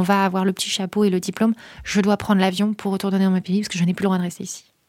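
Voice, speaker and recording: Speaking at a very fast pace, a woman has a dark, mellow tone at medium pitch. Her intonation is monotone and flat, and the recording is very clean with a silent background. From northern France, near Calais / Boulogne-sur-Mer. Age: 30s. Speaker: social entrepreneur, head of a refugee-support nonprofit. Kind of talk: interview.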